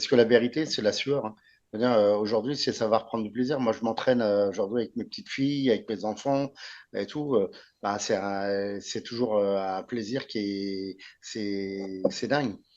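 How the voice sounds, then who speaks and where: An ordinary speaking voice at a moderate pace, fairly even in intonation, over a quiet background. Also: man, fairly low pitch for a man. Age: 60s. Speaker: martial arts expert. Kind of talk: interview.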